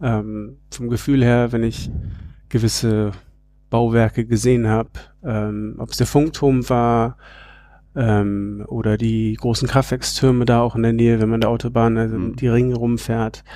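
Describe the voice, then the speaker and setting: A man speaks at a fairly slow pace and medium pitch. His tone is dark and mellow, his intonation flat and monotone. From Berlin, Germany (bilingual, English parents). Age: 30s. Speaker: outdoor educator and family project founder. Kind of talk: interview.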